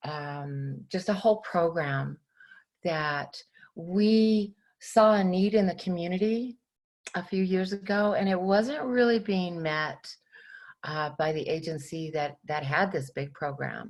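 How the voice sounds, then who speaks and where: On a very clean recording with a silent background, a woman speaks at a very slow pace. Her pitch is fairly low, with ordinary variation. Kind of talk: presentation to a class. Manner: halting, many fillers.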